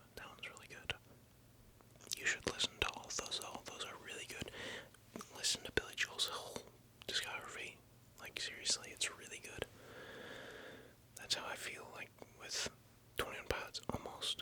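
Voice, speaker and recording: Whispered words come at a moderate pace. Long, frequent pauses break them up, and noticeable background noise stays present. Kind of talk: ASMR whispered rambling, casual talk to camera. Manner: whispered, soft-spoken.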